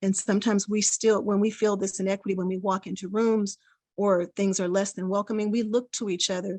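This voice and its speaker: A woman speaks at a medium pitch. The sound is dry and close with no echo, and the background is quiet. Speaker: parent advocate, small nonprofit leader. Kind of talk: public comment at hearing. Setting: video call. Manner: fast.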